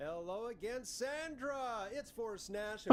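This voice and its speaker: Through noticeable background noise, a man with an extremely high pitch speaks at a fairly slow pace with lively intonation. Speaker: radio show host. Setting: radio studio, on air.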